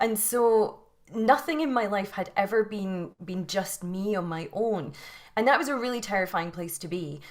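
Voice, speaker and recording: With a Scottish accent, a woman talks at a moderate pace in a medium pitch, her intonation lively. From Scotland. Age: 40s. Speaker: yoga teacher and mindset coach. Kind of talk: interview. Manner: halting, many repetitions.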